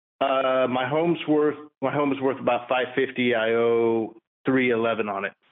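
A man with an ordinary speaking voice talks at a moderate pace and medium pitch, with very even loudness and fairly even intonation. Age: 50s. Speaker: caller. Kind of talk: casual chat. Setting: phone call.

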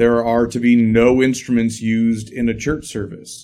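Speaking at a moderate pace, a man has a medium pitch. It is an ordinary speaking voice. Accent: American. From Illinois, US Midwest. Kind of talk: casual interview conversation.

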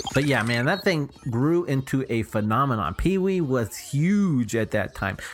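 Against music in the background, a man with an American accent speaks fairly slowly at a medium pitch, with very wide pitch swings and hardly any pauses. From Texas, Houston area. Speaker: podcast co-host. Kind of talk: casual chat.

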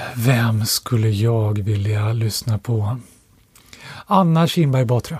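Somewhat breathy, a man speaks very slowly at medium pitch with ordinary pitch variation. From Stockholm, Sweden. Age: 40s. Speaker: economics professor and author. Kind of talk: casual interview.

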